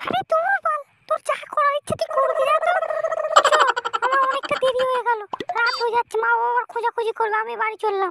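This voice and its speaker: In a cartoonish character voice pitched extremely high, a woman talks at a fairly quick pace with ordinary pitch variation, the sound dry and close with no echo. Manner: scolding, blunt, rustic slang.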